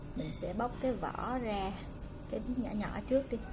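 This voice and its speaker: A woman with a high-pitched voice speaks against noticeable background noise. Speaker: food vlogger. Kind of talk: casual vlog chat. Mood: cheerful, friendly. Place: home room. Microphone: phone near.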